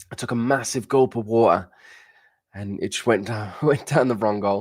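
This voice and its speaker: Using a put-on character voice, a raspy man speaks at a moderate pace and medium pitch with ordinary pitch variation. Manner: strained, raspy.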